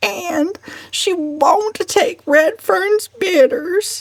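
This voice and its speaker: A put-on character voice at a very slow pace. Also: female-sounding voice, extremely high pitch for a woman. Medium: read story. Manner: whimpering, plaintive.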